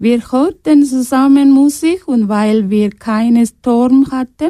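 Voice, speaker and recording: Heard dry and close with no echo, a woman with a high pitch and a dark, mellow tone speaks at a very slow pace with ordinary pitch variation. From Sri Lanka (Tamil). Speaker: asylum seeker, radio workshop participant. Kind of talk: reading a prepared text.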